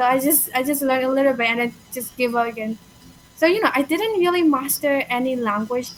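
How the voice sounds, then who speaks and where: A woman's high-pitched voice at a fairly quick pace, with ordinary pitch variation and noticeable background noise. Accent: Burmese. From Myanmar. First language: Burmese. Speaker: language learner. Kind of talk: casual conversation. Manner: halting, with fillers.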